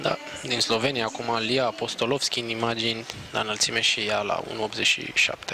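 Monotone, flat delivery from a man at medium pitch, fairly slow in pace, with noticeable background noise. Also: very even loudness. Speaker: sports commentator. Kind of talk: live sports commentary. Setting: outdoor stadium event broadcast.

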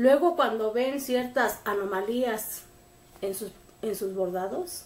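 Audible room echo surrounds a woman with a Mexican accent who speaks at a fairly slow pace with lively intonation. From Mexico. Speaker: embroidery group leader. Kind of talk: tutorial. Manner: casual, rambling self-corrections. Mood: firm, admonishing but calm. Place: home room. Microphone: camera far.

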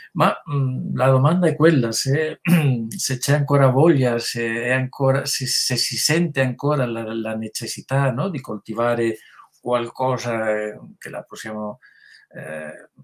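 With a Spanish accent, a man speaks at a fairly slow pace and medium pitch, with ordinary pitch variation and big swings in loudness against a quiet background. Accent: Spanish accent in Italian, rusty. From Spain. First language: Spanish (speaking Italian). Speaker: writer and translator; guest. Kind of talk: online author interview. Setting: online video call. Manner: halting, many repetitions. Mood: reflective, thoughtful. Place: home room. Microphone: webcam.

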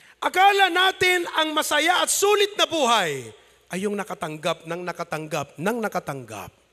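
Animated and raised, a man projects his voice at an extremely high pitch, moving at a moderate pace through very wide pitch swings. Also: quiet background. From Philippines, Ilocos region. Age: 30s. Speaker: pastor. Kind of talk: sermon. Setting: church. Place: church. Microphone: handheld.

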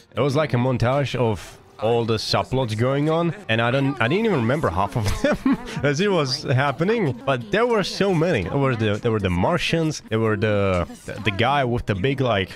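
Clear music plays behind a man whose sound is dry with no echo. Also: moderate pace. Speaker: reaction youtuber. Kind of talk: casual reaction commentary. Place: home room. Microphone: studio mic.

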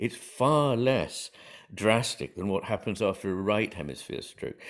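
Over a quiet background, a man talks in a British accent. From England. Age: 60s. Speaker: psychiatrist and author. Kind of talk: interview conversation. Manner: measured, hesitant with frequent fillers. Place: home room.

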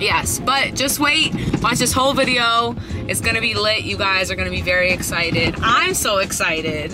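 A woman at a moderate pace, dry sound with no echo, and clear music in the background. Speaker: vlogger. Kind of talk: casual vlog chat. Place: car. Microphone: phone near.

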